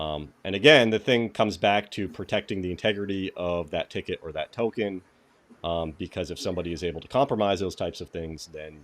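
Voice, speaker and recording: In a New England accent, a man with a very deep, low pitch and a relaxed tone talks at a fairly quick pace, with ordinary pitch variation and big swings in loudness. The recording is very clean and the background silent. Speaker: cybersecurity YouTuber, live stream host. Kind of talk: live stream tutorial. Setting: live stream. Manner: casual, relaxed.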